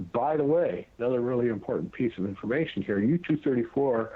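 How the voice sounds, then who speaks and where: A man speaks at a medium pitch. His pitch varies in an ordinary way. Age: 60s. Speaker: author and researcher. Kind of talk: interview. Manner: halting.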